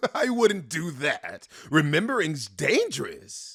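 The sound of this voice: A man puts on a high-pitched character voice at a fairly slow pace. The recording is very clean, with a silent background.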